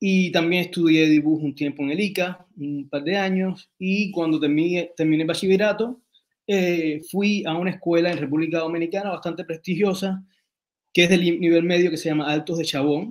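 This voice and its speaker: A man's high-pitched voice at a moderate pace, fairly even in intonation, over a quiet background. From Cuba and Dominican Republic; Cuba. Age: 40s. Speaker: writer and designer; interview guest. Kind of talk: interview. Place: home room. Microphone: video call.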